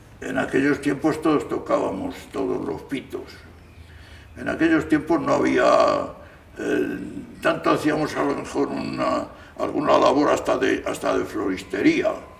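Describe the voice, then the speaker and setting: Both audible room echo and noticeable background noise come through in the recording. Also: man. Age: 80s+. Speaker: gardener. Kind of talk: interview testimony. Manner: halting.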